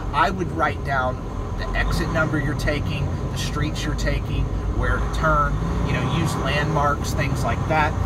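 Loud background noise accompanies a man talking at a fairly slow pace. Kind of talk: casual driving vlog tips. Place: car. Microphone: phone near.

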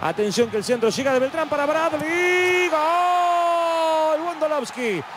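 A man speaks at an extremely high pitch and a very slow pace, with ordinary pitch variation and very even loudness. Crowd noise fills the background. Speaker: football commentator. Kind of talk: live sports commentary. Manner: animated, excitable.

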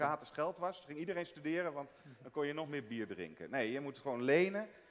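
Talking at a very fast pace, a man with a fairly high pitch uses ordinary pitch variation and big swings in loudness. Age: 50s. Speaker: economist; guest. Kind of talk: panel discussion. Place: hall. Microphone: headset.

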